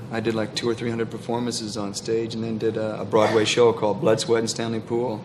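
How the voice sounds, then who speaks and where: Against noticeable background noise and audible room echo, a man of medium pitch speaks very fast with hardly any pauses. His intonation is monotone and flat. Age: 30s. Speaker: actor. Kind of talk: talk show interview.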